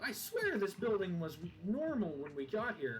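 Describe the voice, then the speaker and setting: Putting on a character voice, a man talks at a moderate pace, high-pitched with very wide pitch swings, over clear background noise. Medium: game stream. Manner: scoffing, irritable.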